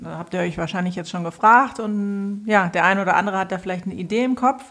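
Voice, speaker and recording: Medium in pitch with lively intonation, this woman has an unremarkable speaking voice. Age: 30s. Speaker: podcast host and financial coach. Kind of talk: casual chat.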